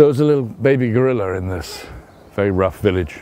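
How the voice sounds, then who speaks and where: Through noticeable background noise, a man with a southern English accent talks at a moderate pace with very wide pitch swings. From England. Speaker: travel writer. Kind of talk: interview answer.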